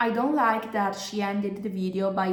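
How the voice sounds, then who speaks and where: With a non-native accent and a medium pitch, a woman talks in a fairly even intonation over noticeable background noise and audible room echo. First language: not English. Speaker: YouTuber, commentary creator. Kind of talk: video commentary.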